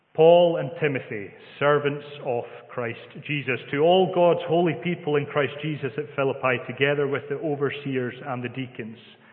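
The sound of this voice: In a Scottish accent, a man speaks at a medium pitch and moderate pace with ordinary pitch variation and few pauses, with audible room echo.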